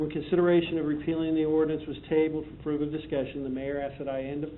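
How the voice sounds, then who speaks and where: This is a man with a fairly high pitch. His voice carries audible room echo. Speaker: police chief. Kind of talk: prepared presentation to council. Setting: city council meeting. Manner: fast.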